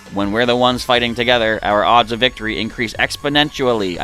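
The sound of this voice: A man's robotic, put-on character voice at a medium pitch, at a very fast pace over clear background noise.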